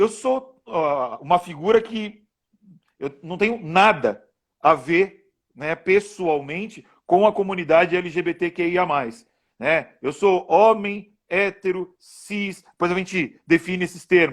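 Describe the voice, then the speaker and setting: Speaking in a São Paulo accent at a fairly slow pace, a man with a high pitch and ordinary pitch variation comes through on a very clean recording with a silent background. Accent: São Paulo Brazilian Portuguese. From Brazil, São Paulo. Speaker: law professor. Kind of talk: interview in a live stream. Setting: Instagram live video stream. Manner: hesitant, with fillers and repeated words.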